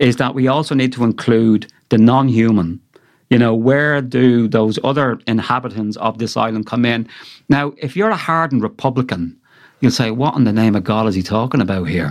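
A man's medium-pitched voice with an Irish accent, ordinary pitch variation and a moderate pace. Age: 50s. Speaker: professor of green political economy. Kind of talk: academic panel discussion.

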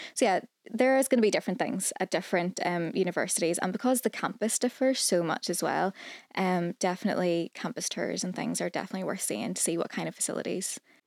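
A woman with a Northern Irish accent speaks very fast at a medium pitch, with ordinary pitch variation and vocal fry. The recording is very clean and dry, close with no echo, over a silent background. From Northern Ireland. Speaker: student recruitment assistant. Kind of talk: casual chat.

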